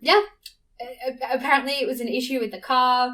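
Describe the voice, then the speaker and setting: A woman with an Australian accent, fairly quick, in a bright, sharp tone. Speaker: podcast host, Formula 1 fan. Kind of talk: casual solo podcast chat. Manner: fast.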